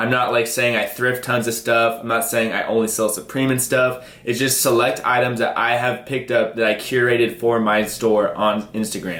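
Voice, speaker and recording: Over noticeable background noise and audible room echo, a man with an American accent speaks at medium pitch in a flat monotone, with very even loudness and hardly any pauses. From US Pacific Northwest (Seattle). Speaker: online reseller / YouTuber. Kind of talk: tutorial. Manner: fast; casual, filler-heavy.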